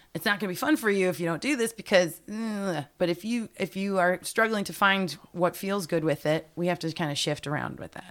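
A woman with an American accent speaks in a normal speaking voice at a medium pitch with ordinary pitch variation. Her pace is fairly quick, with hardly any pauses. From northern Illinois. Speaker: performer. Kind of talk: casual chat. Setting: studio.

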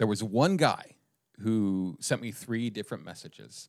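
With a normal speaking voice and fairly low pitch, a man speaks at a moderate pace in a very clean recording with a silent background. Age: 50s. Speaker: comedian and writer, podcast co-host. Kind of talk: casual political satire chat.

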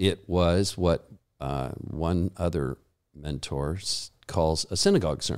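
A man talks at a fairly slow pace with a very deep, low pitch. His voice has vocal fry. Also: ordinary pitch variation, very clean recording, silent background. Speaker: pastor and Bible college teacher. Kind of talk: interview conversation. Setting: studio.

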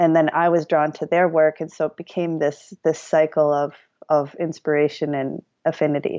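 In an American accent, a woman with a very deep, low pitch speaks at a moderate pace in a flat monotone. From US Midwest, Madison, Wisconsin. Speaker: painter and mixed-media artist. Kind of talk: interview conversation. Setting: remote call.

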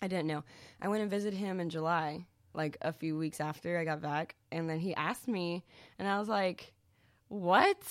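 This woman has an unremarkable speaking voice, fairly low in pitch, with an American accent, ordinary pitch variation and a moderate pace, on a very clean recording with a silent background. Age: 20s. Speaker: singer in a band. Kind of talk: casual chat.

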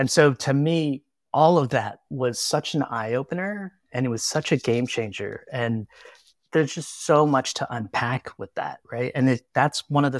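A man talks in an ordinary speaking voice at medium pitch, with ordinary pitch variation and a moderate pace. The recording is very clean, with a silent background. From US, military family moving around; born in the Philippines. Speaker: textile artist. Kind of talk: casual interview conversation.

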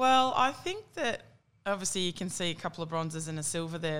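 With an Australian accent, a woman speaks at a fairly low pitch and a very fast pace. Her intonation is lively. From Australia, country New South Wales (Tamworth). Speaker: Olympic softball player. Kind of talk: casual chat.

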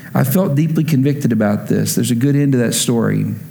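Noticeable background noise and audible room echo surround a man who speaks at a fairly quick pace with lively intonation in an American accent. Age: 30s. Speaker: pastor. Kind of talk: sermon.

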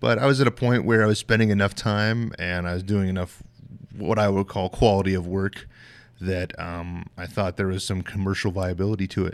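This man has a plain, everyday voice, fairly low in pitch, with an American accent. He speaks at a moderate pace in a very clean recording with a silent background. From US West, southwest Colorado. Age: 40s. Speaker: knife maker and military veteran. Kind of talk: casual interview.

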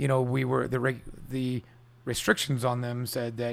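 A man's medium-pitched, ordinary speaking voice with an American accent, at a fairly quick pace. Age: 40s. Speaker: restaurant owner. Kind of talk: casual interview. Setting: at home.

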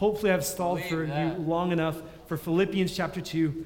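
The man's voice is high in pitch. Audible room echo surrounds it. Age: 20s. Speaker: youth pastor. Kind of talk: sermon.

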